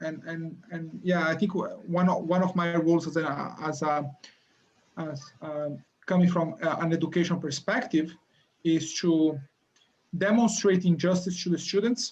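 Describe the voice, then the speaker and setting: A man with a Brazilian accent speaks at a moderate pace in a high pitch with fairly even intonation. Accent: Brazilian accent, noticeable. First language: Portuguese. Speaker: university lecturer. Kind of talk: interview. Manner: halting, many repetitions and fillers.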